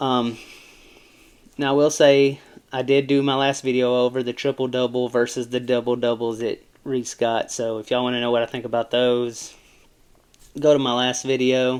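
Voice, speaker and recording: In an American accent, a man talks at a moderate pace and medium pitch with monotone, flat intonation and long, frequent pauses. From US South. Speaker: sports commentator YouTuber. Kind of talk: casual sports commentary. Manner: casual, rambling with fillers.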